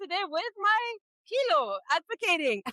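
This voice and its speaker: A woman with a bright, sharp tone uses a raised, projected voice and lively intonation, in a dry, close sound with no echo. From Egypt. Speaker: family support staff and parent. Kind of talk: interview.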